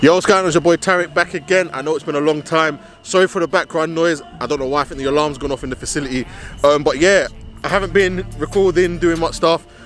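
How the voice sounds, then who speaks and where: A man speaks at a very fast pace with fairly even intonation. The sound is dry with no echo, with faint music in the background. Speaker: footballer vlogger. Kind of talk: casual vlog chat. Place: stadium. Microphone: phone near.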